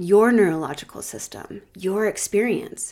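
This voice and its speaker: This is a normal speaking voice from a woman, at a fairly slow pace with fairly even intonation. The recording is very clean, with a silent background. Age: 40s. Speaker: nurse coach and podcast host. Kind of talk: reflective solo podcast talk. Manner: warm, gentle.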